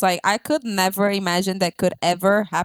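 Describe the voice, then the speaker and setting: A woman speaks in a Brazilian accent at medium pitch with an animated tone. The sound is dry and close, with no echo. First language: Portuguese. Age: 20s. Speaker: podcast guest. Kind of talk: casual interview chat.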